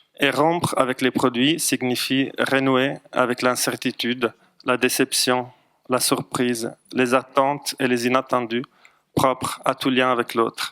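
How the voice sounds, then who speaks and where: Speaking at a very slow pace with a non-native accent, a man uses a medium pitch, a bright, sharp tone and flat, monotone intonation, his loudness very even and the sound dry and close with no echo. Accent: foreign accent in French. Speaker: psychologist. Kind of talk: lecture. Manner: hesitant, frequent fillers.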